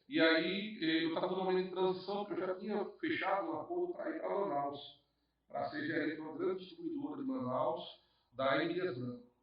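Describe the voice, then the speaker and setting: Amid audible room echo, a man with a northeastern Brazilian accent talks at a fairly quick pace, his high voice making very wide pitch swings. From Northeast Brazil. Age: 40s. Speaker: businessman. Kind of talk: podcast interview. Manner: halting, repeats words.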